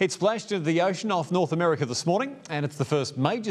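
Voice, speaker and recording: With an Australian accent, a man speaks at a fairly quick pace and fairly high pitch, his intonation lively against a quiet background. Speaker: TV news presenter. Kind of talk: news reading. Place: studio. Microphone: lapel.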